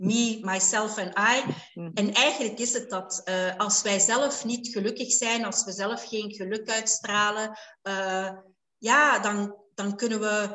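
A woman speaks at a very slow pace. Her pitch is fairly high, and her intonation is fairly even. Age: 50s. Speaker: life coach and hypnotherapist. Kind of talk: interview. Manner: hesitant, many filler sounds.

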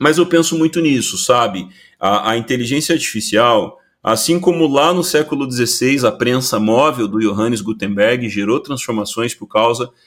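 Heard on a very clean recording with a silent background, this is a normal speaking voice. Its intonation is lively and its pace moderate. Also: man. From Brazil. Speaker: innovation consultant. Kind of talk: interview.

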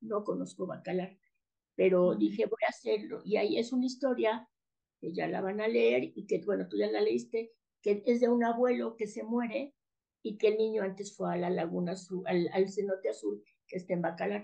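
There is vocal fry in this woman's voice, and her intonation is lively. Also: medium pitch for a woman, moderate pace. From Mexico City. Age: 60s. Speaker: author and educator. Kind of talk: casual interview.

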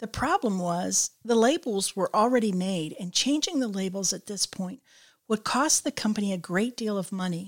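An unremarkable speaking voice moves at a moderate pace with lively intonation, recorded very cleanly against a silent background with a dry, close sound and no echo. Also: woman, medium pitch for a woman. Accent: American. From Michigan. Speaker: company podcast host, tourism director. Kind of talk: scripted narration; casual interview.

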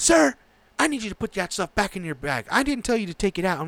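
A put-on character voice shouts at a very fast pace. Very wide pitch swings sound dry and close, with no echo. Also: man, high pitch for a man. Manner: yelling, pissed off.

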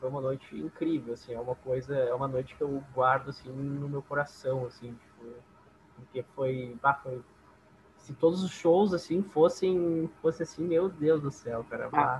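A man with a southern Brazilian accent speaks at a fairly slow pace and a fairly high pitch, with ordinary pitch variation and big swings in loudness. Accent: gaúcho Brazilian Portuguese. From southern Brazil, Esteio (Rio Grande do Sul). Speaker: bass player in a band. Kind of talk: casual interview chat.

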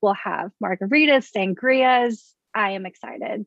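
With an American accent, a woman has an ordinary speaking voice at a fairly high pitch and ordinary pitch variation. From US South, Baton Rouge, Louisiana. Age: 20s. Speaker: political club board member. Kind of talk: casual chat.

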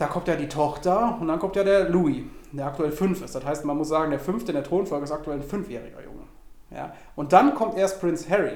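In a room with audible echo and noticeable background noise, a man speaks fairly quickly in a high voice with ordinary pitch variation. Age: 20s. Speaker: podcast guest. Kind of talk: casual chat. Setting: recorded in a cigar shop.

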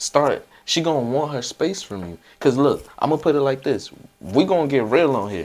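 With vocal fry, a man talks at a fairly high pitch and a moderate pace. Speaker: podcast host and DJ. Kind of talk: casual chat.

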